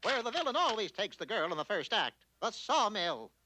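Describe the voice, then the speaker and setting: Against a quiet background, a cartoonish character voice pitched fairly high moves at a fairly quick pace. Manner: pompous, declamatory.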